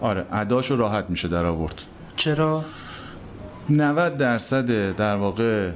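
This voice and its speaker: Speaking fairly slowly at a medium pitch, a man uses lively intonation and very even loudness, pausing long and often. Audible room echo and noticeable background noise surround him. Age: 30s. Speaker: photo editor at a news agency. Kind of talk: interview. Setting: live recording in a cafe.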